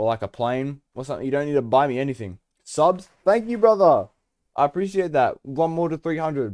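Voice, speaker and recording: A man with an Australian accent speaks at a fairly quick pace with a fairly high voice and lively intonation, the sound dry and close with no echo. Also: very clean recording, silent background. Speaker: video game streamer. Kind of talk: casual live-stream chat. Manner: casual, chatty.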